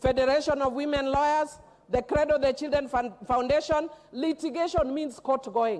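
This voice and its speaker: A woman speaks loudly at a moderate pace in a high voice. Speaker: member of parliament. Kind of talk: parliamentary debate. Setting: parliament chamber.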